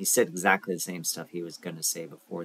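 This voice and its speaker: The man talks at a very fast pace. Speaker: stock market video host. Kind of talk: screen-share market commentary. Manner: hesitant, many fillers.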